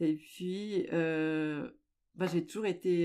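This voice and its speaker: A woman speaks at a fairly low pitch in a very clean recording with a silent background. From French-speaking Switzerland, Lake Geneva. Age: 60s. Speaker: amateur journalist and sailor. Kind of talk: interview.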